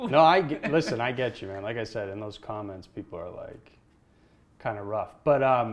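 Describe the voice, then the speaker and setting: A man with a plain, everyday voice speaks at a moderate pace in a medium pitch, using lively intonation and big swings in loudness. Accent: American. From Massachusetts. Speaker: podcast host. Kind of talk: casual interview chat.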